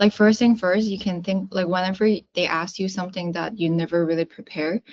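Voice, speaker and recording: A woman with a Chinese accent, medium pitch and ordinary pitch variation. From South China. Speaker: sales career coach. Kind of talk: coaching session. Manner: casual, filler-heavy. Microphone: VPN connection from China.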